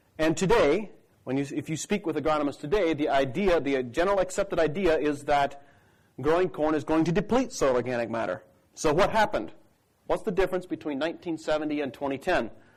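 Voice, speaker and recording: The delivery comes at a very fast pace. Its intonation is lively. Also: man, fairly high pitch for a man. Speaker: crop consultant. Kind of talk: conference talk.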